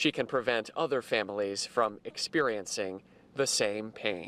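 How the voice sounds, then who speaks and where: This man speaks at a fairly slow pace with ordinary pitch variation. He has an ordinary speaking voice. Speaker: TV news anchor and reporter. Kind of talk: TV news anchor and reporter delivery.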